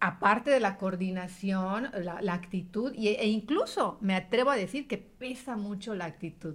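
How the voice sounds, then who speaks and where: Somewhat breathy, a woman speaks slowly-ish at a medium pitch with ordinary pitch variation and hardly any pauses. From Yucatán, Mexico. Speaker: radio announcer and journalist. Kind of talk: interview conversation.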